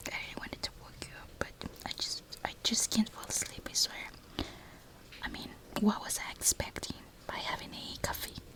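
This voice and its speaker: A woman whispers at a moderate pace amid noticeable background noise, her loudness swinging widely and her speech broken by long, frequent pauses. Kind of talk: ASMR sleepover ramble, whispered talk to camera. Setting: rain sounds in background. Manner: soft-spoken, whispered, rambling.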